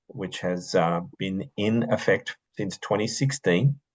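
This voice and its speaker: In an Australian accent, a man speaks at a fairly slow pace with a fairly low pitch. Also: dry, close sound with no echo. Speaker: orientation and mobility instructor. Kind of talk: video call presentation. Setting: video call.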